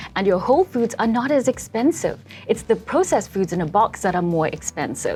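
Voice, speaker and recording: Fairly quick, fairly high-pitched female speech with very wide pitch swings and music in the background. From South Africa. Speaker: dietitian. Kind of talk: interview.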